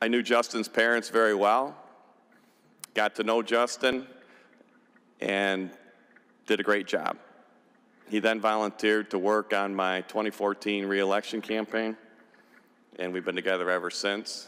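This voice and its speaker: A man with an American accent speaks at a moderate pace in a fairly low pitch, with a bright, sharp tone. His intonation is monotone and flat, broken by long, frequent pauses. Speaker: state senator. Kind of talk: farewell speech. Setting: legislative chamber podium.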